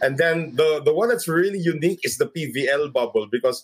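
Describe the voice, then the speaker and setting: A man with a Filipino accent, a fairly high pitch, lively intonation and a moderate pace. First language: Tagalog. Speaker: sports broadcaster. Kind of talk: casual interview.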